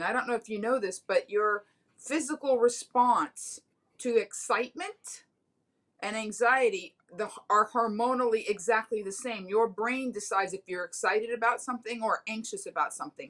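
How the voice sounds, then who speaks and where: A woman with an American accent has a plain, everyday voice and a fairly high pitch. She talks at a moderate pace with ordinary pitch variation. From Miami, Florida. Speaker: comedian. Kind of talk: casual chat.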